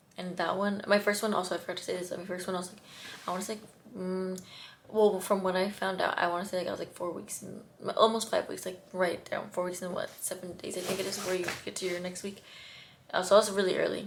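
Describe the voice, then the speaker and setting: A woman's very fast, monotone, flat delivery with big swings in loudness, plus audible room echo and noticeable background noise. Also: medium pitch for a woman. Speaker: vlogger. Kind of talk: personal testimony to camera. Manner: halting, stuttering.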